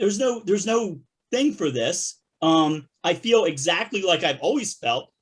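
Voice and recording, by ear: The tone is fairly bright with a slightly husky edge. Intonation is lively. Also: man, high pitch for a man, fairly slow pace.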